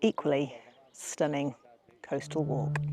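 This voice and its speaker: This woman's voice sits very deep and low. Vocal fry runs through her speech. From British. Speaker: voice-over artist and filmmaker. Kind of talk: casual talk to camera while walking.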